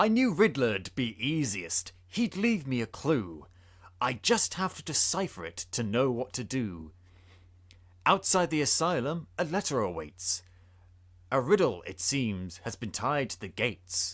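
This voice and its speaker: A man does a gruff, growling put-on character voice at medium pitch and a moderate pace, with very wide pitch swings, on a very clean recording with a silent background. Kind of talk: dramatic rhyming reading. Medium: read story.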